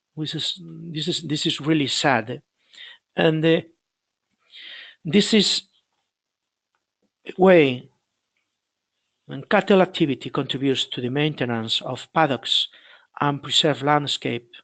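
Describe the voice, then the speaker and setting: A man's fairly high voice in a Galician accent, fairly slow with long, frequent pauses and ordinary pitch movement, over a quiet background in a dry, close sound with no echo. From Spain, Galicia. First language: Spanish or Galician. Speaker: dairy researcher. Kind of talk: webinar presentation. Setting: online webinar. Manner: halting, many repetitions.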